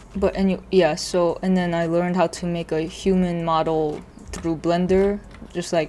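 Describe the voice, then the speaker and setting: Noticeable background noise sits behind a woman with a fairly low pitch. She speaks at a moderate pace in monotone, flat intonation. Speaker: vtuber 3D modeling streamer. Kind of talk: casual live stream chat. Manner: halting.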